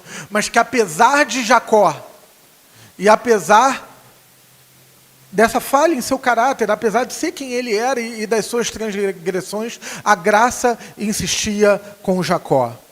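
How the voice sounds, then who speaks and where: Speaking in a Rio de Janeiro accent, a man with a high pitch talks at a fairly slow pace with ordinary pitch variation over noticeable background noise. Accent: carioca accent noticeable. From Rio de Janeiro, Brazil. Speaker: preacher. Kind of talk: sermon. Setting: church. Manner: halting, many fillers.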